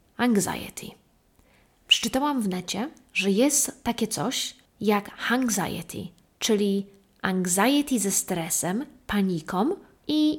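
A woman's fairly high, somewhat breathy voice at a very slow pace, with lively intonation. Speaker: solo podcast host. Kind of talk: casual monologue. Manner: animated.

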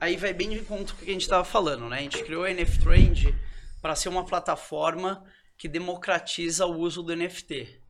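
There is noticeable background noise as a man speaks. His pitch is high for a man, with ordinary variation. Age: 30s. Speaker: NFT company co-founder. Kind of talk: casual chat. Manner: fast.

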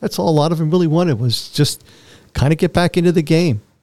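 A man with an American accent talks very fast in a fairly high, dark and mellow voice. The recording is very clean and silent behind him, with a dry, close sound and no echo. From Philadelphia, US. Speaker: Vietnam war veteran, former POW. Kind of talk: interview, telling his life story.

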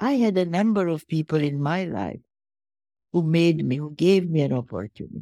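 With a Hungarian accent, a woman speaks at a moderate pace in a fairly low pitch. Her intonation is lively, and the sound is dry and close with no echo. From Hungary, Budapest. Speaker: philanthropist and Holocaust survivor. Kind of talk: interview.

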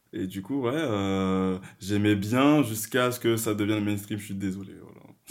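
A man with an ordinary speaking voice talks at a fairly slow pace with hardly any pauses, a fairly low pitch, ordinary pitch variation and big swings in loudness. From Paris region and rural France, Guadeloupean family. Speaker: podcast guest, art management student. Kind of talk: casual chat.

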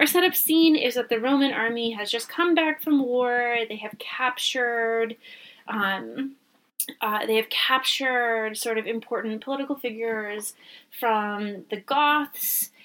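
At a fairly slow pace, this is a plain, everyday voice with ordinary pitch variation. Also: woman, fairly high pitch for a woman. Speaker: podcast co-host. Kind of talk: casual chat.

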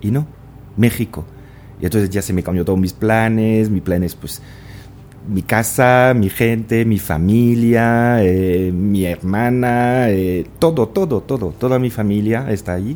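A man with a French accent, fairly low in pitch, at a fairly slow pace with ordinary pitch variation. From France, small village. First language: French (speaking Spanish). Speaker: business executive. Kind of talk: interview.

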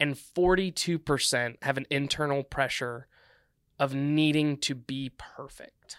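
The tone is bright and sharp at a fairly slow pace. The sound is dry and close with no echo, on a very clean recording with a silent background. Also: man. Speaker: student minister. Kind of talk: casual podcast interview.

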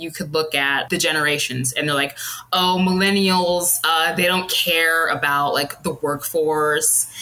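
A woman with a normal speaking voice and a fairly low pitch. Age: 30s. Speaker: astrology enthusiast with psychology degree. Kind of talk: casual chat.

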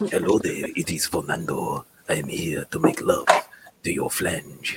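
A man's raspy, put-on character voice at a moderate pace. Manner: suave.

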